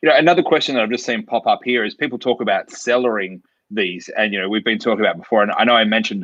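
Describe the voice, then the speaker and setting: Speaking very fast with an Australian accent, a man of medium pitch uses ordinary pitch variation, his voice dry and close with no echo against a quiet background. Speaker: drinks show host. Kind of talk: virtual wine tasting masterclass. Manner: casual.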